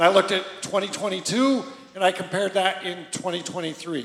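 A loud man at a fairly slow pace with ordinary pitch variation, amid noticeable background noise. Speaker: church leader. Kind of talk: church service announcements. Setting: stage with audience.

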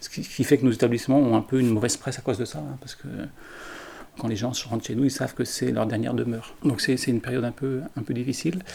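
Talking at a very fast pace, a man with a medium pitch shows a dark, mellow tone, vocal fry and ordinary pitch variation. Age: 60s. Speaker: care home director. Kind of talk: interview testimony. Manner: halting.

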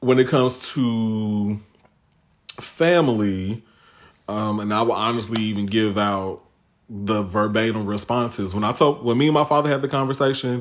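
A man speaks at a medium pitch with an American accent and a normal speaking voice. His pace is moderate, and his pitch varies in an ordinary way. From Chicago south suburbs. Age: 30s. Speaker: podcast guest. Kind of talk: casual chat.

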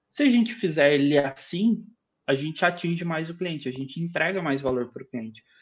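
A man talks at a fairly quick pace with ordinary pitch variation. He has an ordinary speaking voice. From Brazil, southern Minas Gerais (Itajubá). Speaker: product designer and teacher. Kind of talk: casual interview chat.

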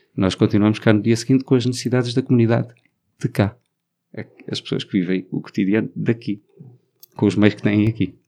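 A man with a fairly low pitch, vocal fry and a dark, mellow tone speaks at a fairly quick pace. His intonation is fairly even, broken by long, frequent pauses. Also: big swings in loudness. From Portugal, Alentejo. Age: 40s. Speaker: LGBT activist. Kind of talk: interview.

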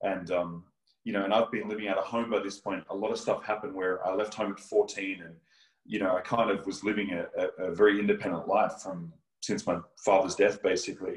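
Someone talks at a fairly quick pace with an Australian accent. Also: man. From Australia, near Melbourne. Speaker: evangelist and minister. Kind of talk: testimony.

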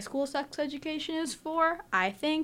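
A woman with an American accent is heard in a very clean recording, with a silent background. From New York City, the Bronx. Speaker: student panelist, sports news. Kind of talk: sports news segment. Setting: studio.

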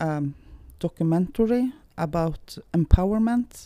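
With a Norwegian accent and a dark, mellow tone, a woman speaks at a very slow pace in a very clean recording with a silent background. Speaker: founder of gambling addiction support charity. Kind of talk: interview. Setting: recording on location in Tromsø. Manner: halting.

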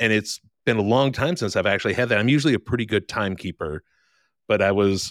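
In a very clean recording with a silent background, a man with a fairly low pitch and a normal speaking voice talks at a fairly quick pace. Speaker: podcast co-host. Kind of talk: casual banter. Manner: crude, joking.

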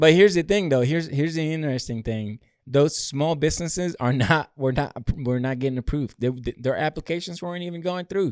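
A man with an American accent talks very fast in a fairly high pitch with ordinary pitch variation. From a developing country outside the US. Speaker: podcast co-host, military veteran. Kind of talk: casual chat.

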